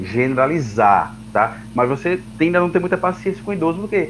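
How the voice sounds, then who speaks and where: A man's voice at a medium pitch. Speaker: guest teacher. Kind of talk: lecture.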